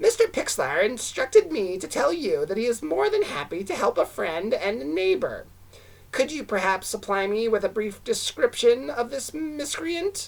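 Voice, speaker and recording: The put-on character voice sounds female and sits at a fairly high pitch. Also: moderate pace. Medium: read story. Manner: ingratiating, annoying.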